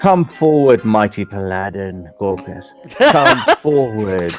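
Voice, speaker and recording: Cackling in a put-on character voice, a man speaks at a fairly slow pace in a fairly low pitch, with clear music in the background. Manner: mysterious, beckoning.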